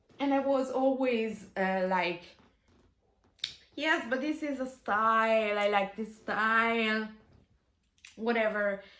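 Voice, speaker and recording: In an Italian accent, a woman speaks very slowly at a fairly high pitch, with long, frequent pauses and audible room echo. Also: ordinary pitch variation. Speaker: bass player. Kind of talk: casual video talk. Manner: halting.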